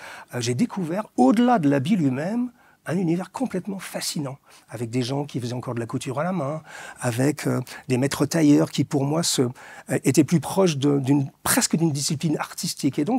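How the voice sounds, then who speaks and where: A man with a fairly high pitch and a dark, mellow, somewhat breathy tone, lively in intonation, at a moderate pace, in a dry, close sound with no echo. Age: 60s. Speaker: author and fashion commentator. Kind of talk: interview.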